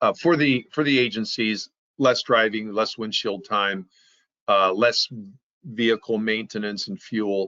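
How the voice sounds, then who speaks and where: A man's normal speaking voice, medium in pitch with ordinary pitch variation, at a fairly slow pace. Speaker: software company presenter. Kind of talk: webinar presentation.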